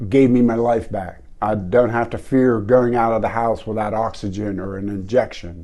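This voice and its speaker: A man's dark, mellow voice at medium pitch, moderate in pace, with ordinary pitch variation. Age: 70s. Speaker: patient giving testimonial. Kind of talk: testimony.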